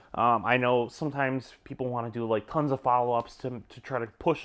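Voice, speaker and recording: A man's relaxed voice at a fairly quick pace, on a very clean recording with a silent background. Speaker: salesman. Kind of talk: casual advice talk. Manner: fast; relaxed, conversational with fillers.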